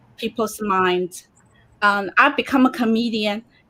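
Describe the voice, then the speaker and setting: A woman with a Chinese accent talks at a moderate pace in a fairly high pitch. Her tone is bright and sharp, and her intonation stays fairly even. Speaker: comedian. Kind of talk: casual chat.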